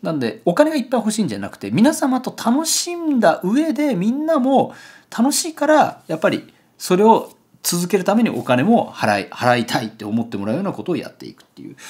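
Over a quiet background, a man talks at a fairly quick pace with big swings in loudness. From Japan, Kagoshima; Japan. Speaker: photographer and YouTuber; YouTuber. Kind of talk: casual vlog monologue, product unboxing. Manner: rambling with many fillers. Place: home room.

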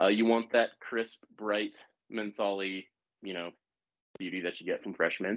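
An ordinary speaking voice: a man with an American accent and fairly low pitch talks at a fairly slow pace. The background is quiet. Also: fairly even intonation. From US South, Savannah, Georgia; Georgia. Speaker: bartender and cocktail consultant; bartender demonstrating cocktails. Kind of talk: live cocktail-making demonstration. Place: kitchen. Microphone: video call.

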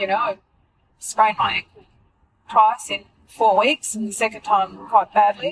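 A woman speaks with an Australian accent, pausing often and at length. The sound is dry and close, with no echo. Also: ordinary pitch variation, moderate pace. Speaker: runner and friend of host. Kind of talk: casual chat. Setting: in a car.

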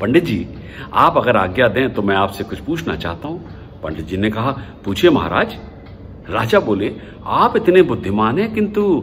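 A man speaks at a fairly slow pace with light background noise. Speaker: storyteller. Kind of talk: storytelling to camera. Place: home room. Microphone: phone near.

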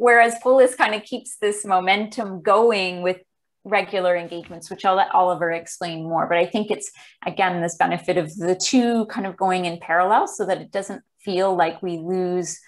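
The pace here is moderate. A woman talks with intonation that stays fairly even. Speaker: presenter. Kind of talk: presentation talk on video call. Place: home room. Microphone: earbuds.

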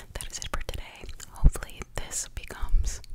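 Whispering and soft-spoken, a woman talks at a fairly quick pace. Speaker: ASMR creator. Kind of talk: soft ASMR whisper talk. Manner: soft close-mic ASMR whisper. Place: home room. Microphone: studio mic.

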